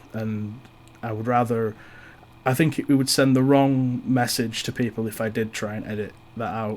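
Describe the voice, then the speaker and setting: A man's medium-pitched voice in a Yorkshire accent with monotone, flat intonation. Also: moderate pace. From East Yorkshire, England. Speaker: podcast host. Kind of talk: personal monologue. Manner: halting; shy.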